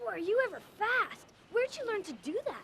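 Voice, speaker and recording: In a cartoonish character voice, a woman speaks at an extremely high pitch and a moderate pace, her loudness swinging widely. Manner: eager, excitable.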